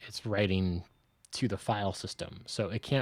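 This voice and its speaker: In a very clean recording with a silent background, a soft-spoken man talks at a moderate pace with a fairly low pitch and fairly even intonation. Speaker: software developer streamer. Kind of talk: live-coding stream. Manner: quiet, soft-spoken; halting, thinking aloud.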